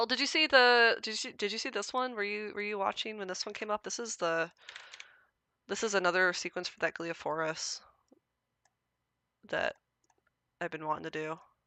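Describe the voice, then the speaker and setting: Lively intonation marks a woman's medium-pitched voice at a moderate pace. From US Midwest. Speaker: mycology livestreamer doing DNA sequence validation. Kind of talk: casual livestream narration while working. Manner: animated, chatty.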